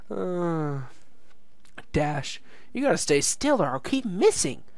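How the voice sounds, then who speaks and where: The put-on character voice sits at a middle pitch and moves at a fairly slow pace. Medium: read story. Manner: bright, bubbly, matter-of-fact.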